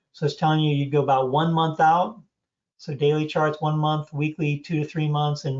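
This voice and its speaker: Speaking at a fairly quick pace, a man with a fairly high, somewhat breathy voice keeps his intonation monotone and flat. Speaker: trading course instructor. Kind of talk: online class Q&A. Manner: fast.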